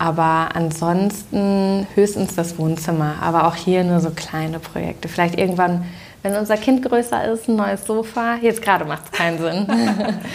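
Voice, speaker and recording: In an ordinary speaking voice, a woman talks at a medium pitch and moderate pace with ordinary pitch variation. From Germany, Düsseldorf. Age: 30s. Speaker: interior design influencer. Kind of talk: casual interview. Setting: at her home.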